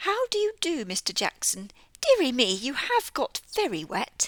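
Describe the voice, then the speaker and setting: Using a put-on character voice, a woman speaks in a high pitch. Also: moderate pace. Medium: read story. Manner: prim, proper.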